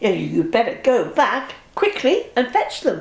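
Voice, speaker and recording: Using a put-on character voice, a woman speaks at a fairly slow pace and a high pitch. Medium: read story.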